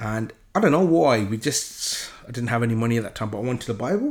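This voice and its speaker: Very fast delivery from a man at medium pitch with ordinary pitch variation. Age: 30s. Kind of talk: solo religious monologue with Bible reading. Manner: halting, many fillers and repetitions.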